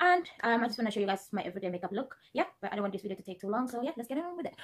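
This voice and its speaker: Lively intonation marks this woman's speech. She talks at a very fast pace. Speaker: beauty vlogger. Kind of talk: makeup tutorial. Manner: casual, filler-heavy.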